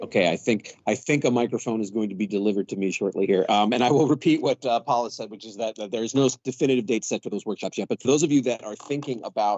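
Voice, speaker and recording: At a very fast pace, a man speaks in a medium-pitched voice with ordinary pitch variation. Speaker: university student media administrator. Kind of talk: meeting presentation. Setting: meeting room with audience, no microphone. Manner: loud. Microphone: speaking without a microphone.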